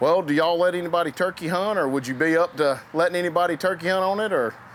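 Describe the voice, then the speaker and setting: With a Southern US accent, a high-pitched man talks at a very fast pace with ordinary pitch variation. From Georgia, US South. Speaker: hunting show host. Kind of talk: casual chat; tutorial.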